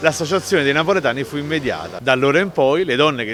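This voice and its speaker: Music plays in the background behind a man's voice. He speaks at a medium pitch with lively intonation. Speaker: writer and Neapolitan dialect expert. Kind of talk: explanatory talk on word origins.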